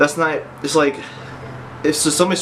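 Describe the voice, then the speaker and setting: A man with a fairly high pitch speaks at a very fast pace amid noticeable background noise and audible room echo. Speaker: fitness vlogger. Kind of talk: personal story vlog. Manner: halting.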